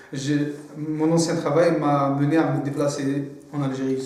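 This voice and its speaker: With noticeable background noise and audible room echo, a man speaks very slowly at a fairly high pitch in a monotone, flat intonation. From Algeria. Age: 30s. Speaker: student entrepreneur. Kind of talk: testimony. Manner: halting, many repetitions and hesitations.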